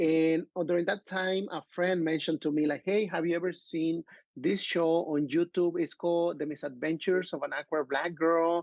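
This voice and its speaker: A man's high voice with a Mexican accent, monotone and flat, with hardly any pauses, in a dry, close sound with no echo against a quiet background. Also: moderate pace. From Mexico, Acapulco. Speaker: filmmaker and actor. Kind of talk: podcast interview.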